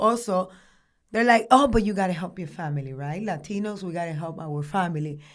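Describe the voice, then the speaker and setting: Here is a woman with a Dominican accent. Her intonation is lively. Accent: Dominican Spanish accent, noticeable. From Dominican Republic. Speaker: former beauty queen and real estate agent. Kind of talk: casual interview chat. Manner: animated.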